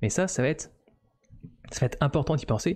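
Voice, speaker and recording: A dark, mellow tone with ordinary pitch variation, against a quiet background. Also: man. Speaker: 3D modeling streamer. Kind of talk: live stream commentary. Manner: hesitant, many fillers. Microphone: studio mic.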